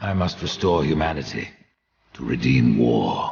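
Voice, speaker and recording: A man puts on a character voice with a very deep, low pitch. His intonation is lively. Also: moderate pace. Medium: video game. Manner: curt, cold.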